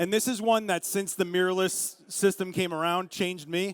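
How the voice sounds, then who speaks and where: In a Brooklyn accent, a man speaks at a high pitch with an animated tone. The recording is very clean and dry, close with no echo and a silent background. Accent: New York (Brooklyn). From Brooklyn, New York. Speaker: photographer giving a camera demo. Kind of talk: live demo to an audience. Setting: stage with audience at a show in Vegas. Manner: fast, intense; loud, animated.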